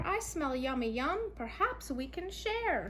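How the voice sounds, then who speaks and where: A woman's put-on character voice at a fairly slow pace, with clear background noise. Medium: read story. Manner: cheerful.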